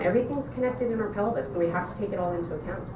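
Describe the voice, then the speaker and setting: Medium-pitched woman's voice with ordinary pitch variation, noticeable background noise and audible room echo. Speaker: pelvic floor physiotherapist. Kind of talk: conference presentation. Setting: conference stage with audience. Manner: loud when excited; animated.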